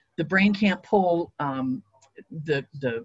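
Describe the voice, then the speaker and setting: A somewhat breathy woman speaks with an American accent. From Ohio. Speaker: beekeeper and retired teacher. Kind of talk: lecture. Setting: video call. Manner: uses many filler words.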